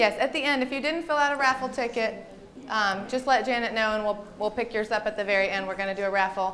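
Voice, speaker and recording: With a Southern US accent, a woman talks at a fairly quick pace and a medium pitch, using ordinary pitch variation. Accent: Southern American. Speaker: registered dietitian and aerobics instructor. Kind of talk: health presentation to a group. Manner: fast; animated.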